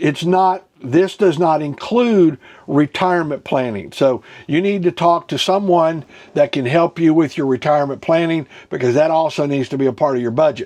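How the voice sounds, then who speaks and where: This is a man with an ordinary speaking voice and a fairly high pitch. He moves at a moderate pace, with ordinary pitch variation. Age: 60s. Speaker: ministry teacher on personal finance. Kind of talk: teaching talk. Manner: conversational, with frequent fillers.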